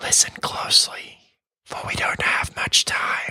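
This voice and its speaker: In a put-on character voice, someone whispers in a raspy way. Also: fairly slow pace. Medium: read story.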